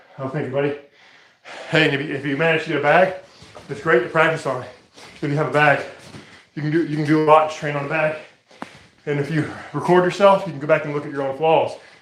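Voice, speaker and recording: A man with a fairly high pitch talks at a very fast pace in a monotone, flat intonation, with long, frequent pauses, audible room echo and noticeable background noise. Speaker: martial arts fitness streamer. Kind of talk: live workout commentary. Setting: live stream.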